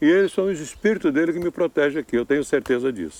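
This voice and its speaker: A man talks with a fairly high pitch. The recording is dry and close, without any echo. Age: 70s. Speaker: retired island resident, campsite owner. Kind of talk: interview.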